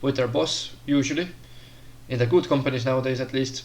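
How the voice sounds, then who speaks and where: A man of medium pitch speaks with monotone, flat intonation. Audible room echo surrounds his voice. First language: not English. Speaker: career advice vlogger. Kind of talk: casual monologue tutorial. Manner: hesitant, many fillers.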